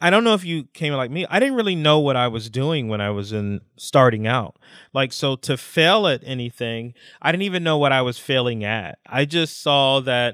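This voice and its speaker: A man talks at a moderate pace with medium pitch and lively intonation in a normal speaking voice. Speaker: podcast co-host. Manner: casual, emotional storyteller.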